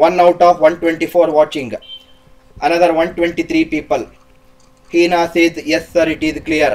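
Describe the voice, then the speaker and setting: Noticeable background noise surrounds a man speaking with a South Indian accent. His voice is high-pitched and monotone, with flat intonation at a moderate pace. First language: Kannada. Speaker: teacher. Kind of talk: live online lecture. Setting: livestream.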